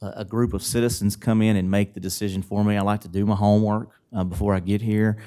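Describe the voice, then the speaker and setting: A man with a fairly low pitch speaks at a fairly quick pace on a very clean recording with a silent background. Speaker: city commissioner candidate. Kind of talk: candidate debate answers. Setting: public forum. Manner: fast.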